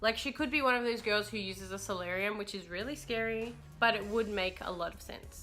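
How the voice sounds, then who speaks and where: A woman speaks with an Australian accent at a very fast pace. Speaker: beauty YouTuber. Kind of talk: makeup tutorial. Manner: casual, chatty.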